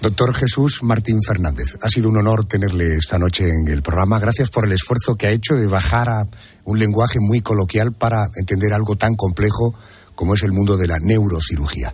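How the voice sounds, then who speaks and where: The voice is somewhat breathy and moves at a fairly quick pace. Its loudness is very even, and the pitch varies in an ordinary way. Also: man, fairly low pitch for a man. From Andalusia. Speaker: radio host. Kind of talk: interview. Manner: formal.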